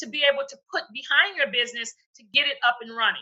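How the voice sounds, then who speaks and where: A woman projects a raised, high-pitched voice at a fairly quick pace. Her tone is bright and sharp. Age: 60s. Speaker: speaker and coloring book author. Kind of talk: interview. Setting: video call.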